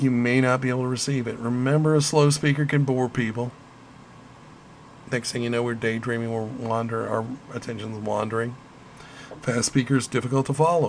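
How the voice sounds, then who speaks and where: In a Midwestern accent, the speaker moves at a fairly quick pace with fairly even intonation, broken by long, frequent pauses. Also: man, medium pitch for a man. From US Midwest. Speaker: college instructor. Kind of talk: lecture.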